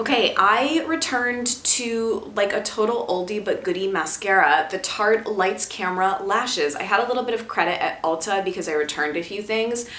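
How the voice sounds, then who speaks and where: Over noticeable background noise and audible room echo, a woman at medium pitch speaks with lively intonation at a moderate pace with hardly any pauses. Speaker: beauty vlogger. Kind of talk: casual product review vlog. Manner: animated.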